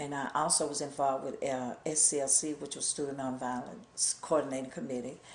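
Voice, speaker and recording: With an Alabama accent, a woman speaks at a moderate pace in a very deep, low pitch and fairly even intonation. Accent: Southern US (Alabama). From Gadsden, Alabama. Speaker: civil rights activist. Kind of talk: oral history interview answer.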